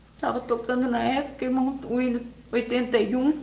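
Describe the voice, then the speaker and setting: Noticeable background noise accompanies a woman's high-pitched voice. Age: 80s+. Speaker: church member giving a religious testimony. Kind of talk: personal religious testimony.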